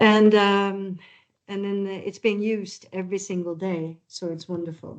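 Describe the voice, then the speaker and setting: With a Norwegian accent, a woman speaks at a fairly slow pace in a monotone, flat intonation. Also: medium pitch for a woman. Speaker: architect/project presenter. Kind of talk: webinar presentation.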